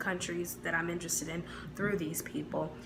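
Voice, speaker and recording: Someone with an American accent talks at a very fast pace, with audible room echo and noticeable background noise. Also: woman. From US Midwest. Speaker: YouTuber. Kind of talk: casual vlog talk.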